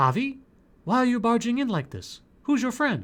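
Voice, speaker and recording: The speaker uses a put-on character voice pitched fairly high, at a moderate pace. The recording is very clean, with a silent background. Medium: solo performance.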